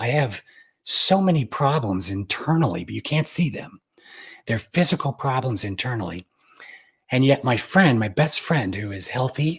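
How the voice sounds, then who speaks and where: A man with an American accent speaks at a medium pitch, somewhat breathy and fairly slow, with long, frequent pauses. The recording is very clean and the background silent. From Utah. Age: 40s. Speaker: pianist. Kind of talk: interview.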